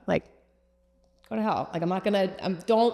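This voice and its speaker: A woman with ordinary pitch variation. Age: 30s. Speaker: creative agency founder. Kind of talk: podcast interview. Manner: animated.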